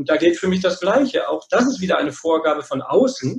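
This man has an ordinary speaking voice, speaking at a moderate pace with lively intonation. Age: middle-aged. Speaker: psychologist and men's therapist. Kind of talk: podcast interview. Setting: working from home.

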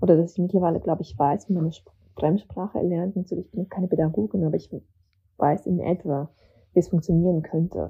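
Speaking very fast at a fairly low pitch, the woman's loudness swings widely. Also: ordinary pitch variation. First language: not German (learned German at school as migrant) (speaking German). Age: 30s. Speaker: novelist and essayist. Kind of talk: casual interview. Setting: remote call to Berlin.

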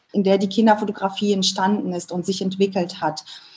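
Somewhat breathy, a woman's voice comes through in a dark, mellow tone. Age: 30s. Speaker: family photographer. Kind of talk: interview.

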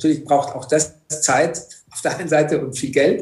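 With audible room echo around him, a man speaks at a moderate pace in a fairly high pitch, sounding somewhat breathy. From Egypt. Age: 50s. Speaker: entrepreneur. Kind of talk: interview. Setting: video call.

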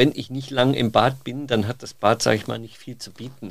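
With fairly even intonation, a man talks in a plain, everyday voice pitched in the medium range. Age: 50s. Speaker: bathroom industry trend scout. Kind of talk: interview. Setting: studio. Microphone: occasional sound problems.

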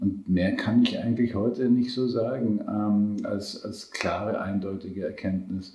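A plain, everyday voice moves at a fairly slow pace with fairly even intonation and hardly any pauses. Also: man, fairly low pitch for a man. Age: 60s. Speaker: nutrition scientist. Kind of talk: interview. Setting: in person.

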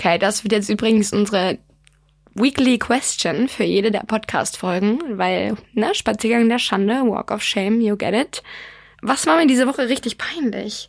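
On a very clean recording with a silent background, a woman with vocal fry speaks at a moderate pace and fairly high pitch, with very even loudness and ordinary pitch variation. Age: 20s. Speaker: podcast co-host. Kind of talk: casual chat.

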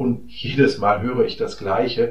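A somewhat breathy man's voice with audible room echo. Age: 50s. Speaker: general practitioner. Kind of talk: monologue podcast talk.

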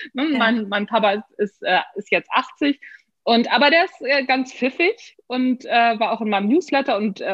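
This woman's pitch sits high and her intonation is lively. She keeps a moderate tempo. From northern Germany. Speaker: author and management trainer. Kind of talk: casual interview. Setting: video call.

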